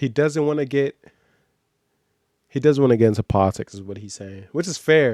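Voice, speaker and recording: A man's dark, mellow tone at a moderate pace, with lively intonation, big swings in loudness, long, frequent pauses, and a dry, close sound with no echo. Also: medium pitch for a man. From Nigeria, moved to US at six or seven. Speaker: streamer reacting to video. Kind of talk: reaction commentary. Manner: casual, halting with restarts.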